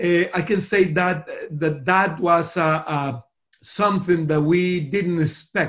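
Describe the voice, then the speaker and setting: A man speaks at a very slow pace in a high voice. His intonation stays fairly even. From Costa Rica. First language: Spanish. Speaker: pastor. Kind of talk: interview. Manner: halting.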